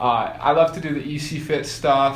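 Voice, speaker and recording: Noticeable background noise sits behind this recording. The speaker is a man with an American accent. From Boulder, Colorado, USA. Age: 20s. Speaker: professional triathlete. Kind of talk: interview answer.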